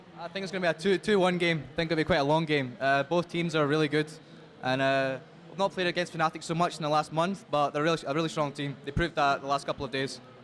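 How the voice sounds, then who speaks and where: In a Scottish accent, a man with a fairly high pitch speaks at a very fast pace. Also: fairly even intonation. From Scotland. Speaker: esports player. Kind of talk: on-stage interview. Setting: stage at convention event.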